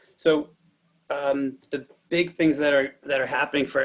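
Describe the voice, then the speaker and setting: Moderate pace and medium pitch from a man, in an ordinary speaking voice. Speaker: physical therapy telehealth panelist. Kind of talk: webinar presentation.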